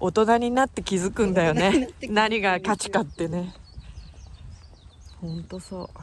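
A woman at a medium pitch in a Yamanashi accent, with vocal fry, ordinary pitch variation, a fairly slow pace, long, frequent pauses and big swings in loudness. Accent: Koshu (Yamanashi) dialect intonation. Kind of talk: casual talk to camera.

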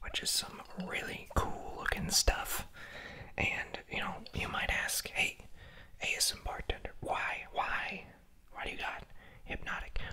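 Whispering and soft-spoken, the speaker goes at a fairly slow pace with long, frequent pauses. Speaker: bartender video host. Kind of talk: casual tutorial chat. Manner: soft ASMR whisper. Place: bar.

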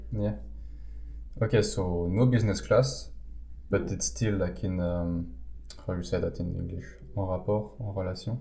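A man mumbles at a moderate pace with long, frequent pauses, his very deep, low voice dark and mellow, full of vocal fry and very wide pitch swings. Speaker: podcast co-host, small online shop owner. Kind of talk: casual chat. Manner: hesitant, many fillers; mumbling.

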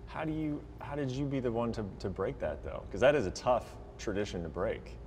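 Against light background noise, a man talks at a fairly quick pace. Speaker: sports reporter. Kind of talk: interview question. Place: studio.

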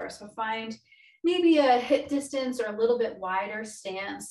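Against a quiet background with audible room echo, a woman speaks at a moderate pace and a fairly high pitch. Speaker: yoga instructor. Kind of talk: live guided chair-yoga class, cueing breath and movement step by step; guided exercise instruction. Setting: video call. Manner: calm, encouraging instructor voice with rhythmic inhale/exhale cues; gentle and reassuring, repeatedly offering options and saying good. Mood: calm, encouraging. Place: home room. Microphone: webcam.

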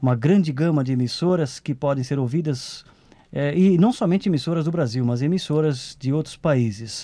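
A man speaks at a moderate pace with ordinary pitch variation and a dark, mellow tone. The background is quiet. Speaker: radio program host interviewer. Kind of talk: radio interview questions. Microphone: old recording.

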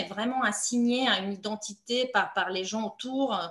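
A woman with a Romanian accent at a very slow pace, with ordinary pitch variation. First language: Romanian (speaking French). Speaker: playwright and novelist; interviewee. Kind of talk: author interview. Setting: online video meeting. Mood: thoughtful, calm. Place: home room. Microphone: video call.

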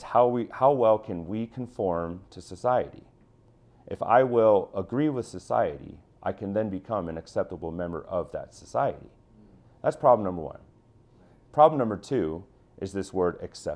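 A man with a fairly low pitch speaks at a moderate pace with lively intonation. His loudness swings widely, and he takes long, frequent pauses. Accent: American. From Chicago, US Midwest. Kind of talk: interview testimony. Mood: earnest, passionate. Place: office. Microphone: lapel.

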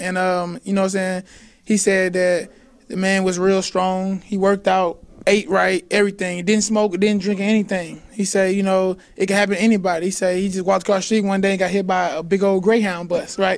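A man's high voice with an American accent, a fairly quick pace and monotone, flat intonation. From St. Louis, Missouri; Missouri. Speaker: college basketball player. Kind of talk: sit-down interview. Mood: calm, reflective. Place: stadium. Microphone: handheld.

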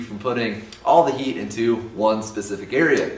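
Audible room echo surrounds a man's voice. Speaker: welding instructor. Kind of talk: tutorial. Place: garage.

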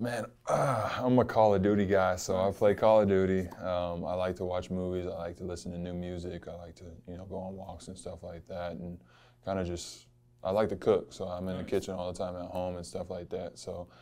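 Speaking at a fairly quick pace, a man with a very deep, low pitch and a dark, mellow tone keeps his intonation fairly even. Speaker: interviewee. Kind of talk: interview answer. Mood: relaxed, laughing at times. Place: meeting room.

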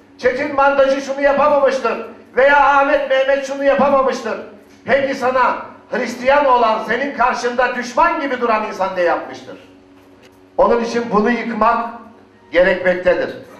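A man speaks with a passionate tone at a moderate pace, his pitch extremely high. His pitch variation is ordinary, and noticeable background noise can be heard. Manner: emphatic, passionate.

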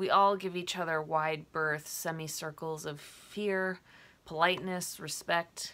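In a fairly low pitch, a woman speaks with a bright, sharp yet gentle tone and monotone, flat intonation. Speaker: poet. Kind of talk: poem performed, prose poem read aloud. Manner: reflective, gentle, measured. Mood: reflective, saddened. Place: home room. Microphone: webcam.

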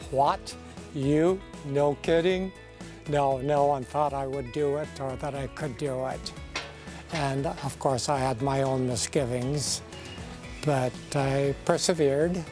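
Over clear background music, a man with a fairly high voice talks at a very slow pace, leaving long, frequent pauses. The sound is dry, with no echo. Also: ordinary pitch variation. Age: 80s+. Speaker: retired cyclist. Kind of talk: interview answer. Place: garden.

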